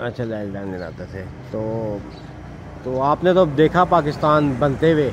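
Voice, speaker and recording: Noticeable background noise surrounds a man whose lively intonation comes with big swings in loudness, in a dry sound with no echo. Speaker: interviewer. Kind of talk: interview questions. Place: street.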